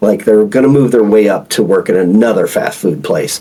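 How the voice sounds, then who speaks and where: This voice has a dark, mellow tone and an American accent. It moves at a fairly quick pace with lively intonation. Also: man. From Oklahoma (rural backwoods). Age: 40s. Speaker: former naval officer and retired FBI agent. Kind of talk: podcast interview. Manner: casual, halting with repetitions.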